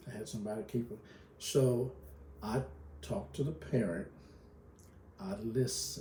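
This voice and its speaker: A man with a Southern US accent and a fairly low pitch talks at a moderate pace with very wide pitch swings and long, frequent pauses, amid audible room echo and noticeable background noise. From Kentucky. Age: 70s. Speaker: pastor and retired school counselor. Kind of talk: interview. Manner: halting.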